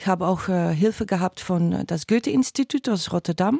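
Her voice is a medium pitch for a woman, with a dark, mellow tone, heard dry and close with no echo in a very clean recording against a silent background. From Belgium (Flemish). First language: Dutch (speaking German). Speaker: stage actress. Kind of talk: interview.

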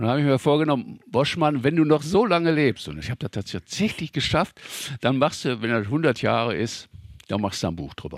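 Speaking at a fairly quick pace, a man with a fairly high pitch and vocal fry makes very wide pitch swings. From Ruhr area, Germany. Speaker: local history author. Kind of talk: interview, storytelling.

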